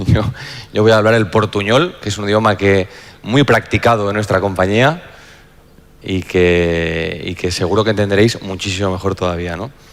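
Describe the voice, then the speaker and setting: Noticeable background noise accompanies a man at a fairly low pitch. He keeps a moderate pace and fairly even intonation. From Spain. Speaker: insurance executive and panel moderator. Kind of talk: panel introduction. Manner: halting, frequent repetitions.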